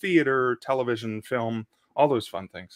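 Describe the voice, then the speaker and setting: A plain, everyday voice talks at a moderate pace, the sound dry and close with no echo and the background quiet. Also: man. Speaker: podcast host. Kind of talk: podcast interview hosting.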